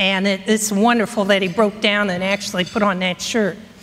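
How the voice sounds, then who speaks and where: Noticeable background noise sits behind a woman whose intonation stays fairly even. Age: 60s. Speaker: speaker on local history. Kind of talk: conference talk. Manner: halting.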